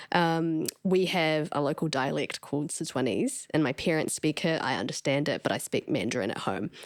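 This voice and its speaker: In a New Zealand accent, a woman with a very deep, low pitch and vocal fry talks at a moderate pace with hardly any pauses. Her intonation is lively, and the sound is dry and close with no echo. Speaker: podcast host. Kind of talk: interview. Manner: loud, expressive.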